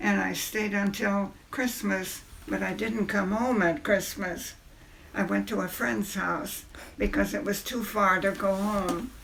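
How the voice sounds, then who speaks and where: Noticeable background noise surrounds a woman speaking at a fairly slow pace. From China, missionary family. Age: 80s+. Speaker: great-grandmother interviewed. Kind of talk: family interview, storytelling. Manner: halting, with false starts.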